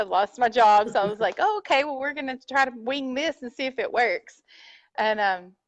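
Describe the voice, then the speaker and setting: Against a quiet background, a woman with a Texan accent speaks loud and high-pitched at a moderate pace with lively intonation, the sound dry and close with no echo. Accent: Texas country. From North Texas. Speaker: furniture painter. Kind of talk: interview. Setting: live video stream. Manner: loud, voice carries.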